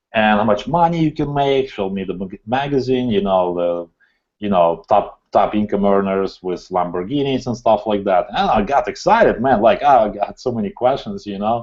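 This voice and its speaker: A man with a non-native accent speaks at a moderate pace in a fairly low pitch. The background is quiet, and his pitch varies in an ordinary way. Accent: foreign. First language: not English. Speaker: entrepreneur. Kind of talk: interview. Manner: animated.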